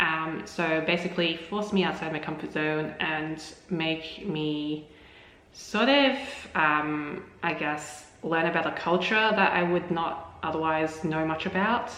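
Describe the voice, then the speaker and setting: With an Australian accent, a woman speaks at a fairly slow pace and fairly low pitch with ordinary pitch variation, amid noticeable background noise and audible room echo. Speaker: language-learning vlogger. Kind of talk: casual vlog talk to camera. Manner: hesitant, many fillers.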